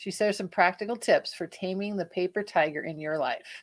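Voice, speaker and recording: In a very clean recording with a silent background, a woman with a plain, everyday voice talks at a moderate pace and medium pitch, her intonation fairly even. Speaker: podcast co-host. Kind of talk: interview.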